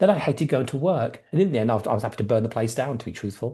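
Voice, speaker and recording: Against a quiet background, a man speaks in a dark, mellow, somewhat breathy tone with lively intonation. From English Midlands, Coventry. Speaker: salon business coach. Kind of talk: live webinar presentation. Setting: livestream. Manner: fast; animated.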